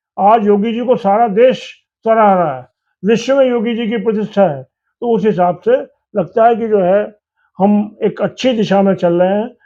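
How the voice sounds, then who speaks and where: This man talks in a high voice with ordinary pitch variation. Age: 70s. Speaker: trader leader and party politician. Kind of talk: political interview.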